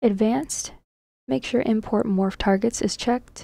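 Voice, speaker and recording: Quiet and breathy, a woman's dark, mellow voice shows ordinary pitch variation. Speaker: game modder. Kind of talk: software tutorial narration.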